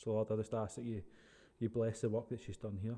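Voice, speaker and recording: Against a quiet background, a man with a Scottish accent talks at a fairly quick pace in a fairly low, dark, mellow voice with monotone, flat intonation. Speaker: podcast host. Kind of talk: casual interview.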